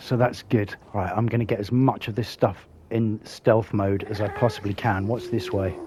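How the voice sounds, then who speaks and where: Somewhat breathy, a man speaks in a dark, mellow tone with monotone, flat intonation. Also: fairly low pitch for a man, moderate pace, hardly any pauses. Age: old. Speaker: gaming YouTuber. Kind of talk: gameplay commentary.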